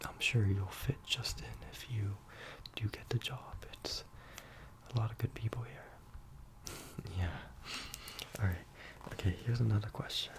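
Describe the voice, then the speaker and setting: Whispered at a fairly slow pace with long, frequent pauses, the voice swings widely in loudness over noticeable background noise. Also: man. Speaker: ASMR creator doing a job interviewer roleplay. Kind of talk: ASMR roleplay, casual talk to the listener. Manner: soft-spoken, friendly.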